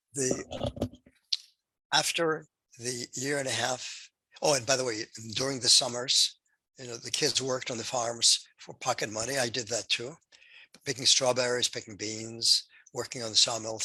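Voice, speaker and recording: A man at a medium pitch, moderate pace, monotone, flat intonation, big swings in loudness, and long, frequent pauses. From Poland. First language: Polish. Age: 80s+. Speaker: Holocaust survivor. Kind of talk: testimony.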